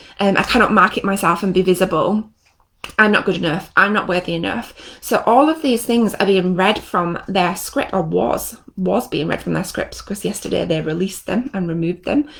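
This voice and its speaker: This woman talks at a medium pitch with ordinary pitch variation and some vocal fry. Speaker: NLP trainer and coach. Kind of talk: live stream teaching. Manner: fast; animated.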